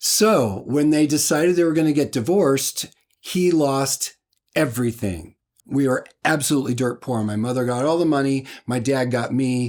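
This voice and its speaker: At a moderate pace, a man with an American accent and a fairly high pitch for a man speaks in an ordinary speaking voice with ordinary pitch variation. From Washington state, US. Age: 60s. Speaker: musician. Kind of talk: personal testimony.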